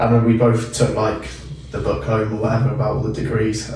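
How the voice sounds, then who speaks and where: A man with a West Country accent speaks at a fairly quick pace, with audible room echo and noticeable background noise. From Plymouth, southwest England. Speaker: university student podcast host. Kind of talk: casual chat.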